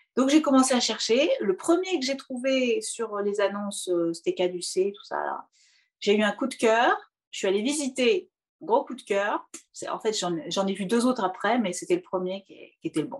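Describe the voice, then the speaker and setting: Her pitch is high, with very wide swings, as this woman talks at a moderate pace. She leaves long, frequent pauses. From western France, Poitou-Charentes. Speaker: opera singer and hypnotherapist. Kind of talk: interview. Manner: hesitant, many fillers; expressive, smiling.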